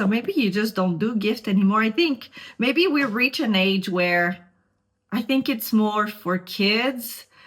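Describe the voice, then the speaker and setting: A woman with a Montreal accent speaks in a fairly high pitch. Her voice is somewhat breathy and her pace fairly slow. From Quebec, Montreal. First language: French. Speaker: beauty vlogger. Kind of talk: casual makeup tutorial chat.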